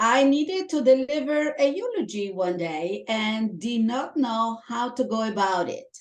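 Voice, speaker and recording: A woman speaks at a fairly high pitch. Her intonation is lively. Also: fairly slow pace, hardly any pauses. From Italy. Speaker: Toastmasters club member. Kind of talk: interview.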